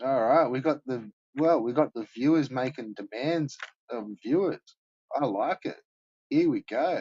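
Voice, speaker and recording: A man with an Australian accent speaks with a fairly high pitch and ordinary pitch variation. He leaves long, frequent pauses. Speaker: live streamer. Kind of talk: casual chat. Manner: mumbling. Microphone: poor quality mic.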